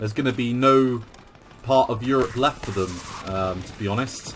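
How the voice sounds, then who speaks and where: A man talks with a British accent. Noticeable background noise can be heard behind him. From England. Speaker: gaming video creator. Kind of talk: gameplay commentary; casual chat. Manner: casual with filler words.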